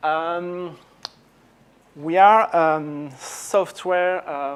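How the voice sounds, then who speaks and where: Intonation stays fairly even as a man talks with a French accent. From France. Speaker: software company executive. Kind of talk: conference talk. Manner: halting, many fillers.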